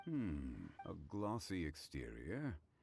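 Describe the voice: A man's put-on character voice, low-pitched and slow, with vocal fry, a slightly mellow tone, a slightly husky edge and very wide pitch swings.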